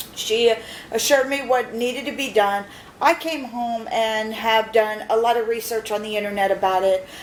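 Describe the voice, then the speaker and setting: A woman's fairly high voice at a moderate pace, with ordinary pitch variation, over noticeable background noise. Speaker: patient sharing dental experience. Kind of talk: personal video diary. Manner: halting, many fillers.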